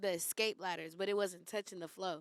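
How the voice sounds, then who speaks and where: In a Bay Area accent, a woman talks at a moderate pace with a bright, sharp tone and ordinary pitch variation. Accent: Bay Area urban US English. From East San Jose, California. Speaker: podcast guest. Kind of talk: casual chat.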